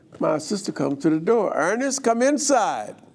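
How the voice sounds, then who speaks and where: A man with a New Orleans accent, very wide pitch swings and a moderate pace. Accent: New Orleans Southern US. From US South, New Orleans, Louisiana. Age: 80s+. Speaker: guest speaker telling his life story. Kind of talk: life story testimony. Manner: casual, joking.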